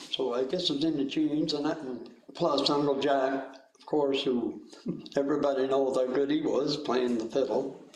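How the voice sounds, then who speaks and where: There is audible room echo and noticeable background noise as a man speaks at a moderate pace, his fairly high pitch held in a monotone, flat intonation. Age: 70s. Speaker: musician, guitar player. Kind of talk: panel interview. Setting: video call webinar. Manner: halting.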